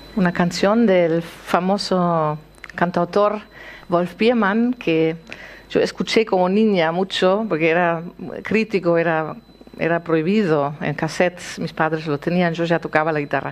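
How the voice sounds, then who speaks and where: A woman with a plain, everyday voice speaks at a fairly slow pace. Her pitch is fairly low, with ordinary variation. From East Berlin, Germany. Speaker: guitarist; guest. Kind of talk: panel discussion and guitar performance. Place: stage.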